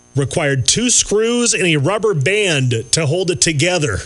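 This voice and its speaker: A man speaks at a fairly slow pace in a high voice, his pitch swinging very widely, with music playing in the background. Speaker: radio host. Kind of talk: radio show banter.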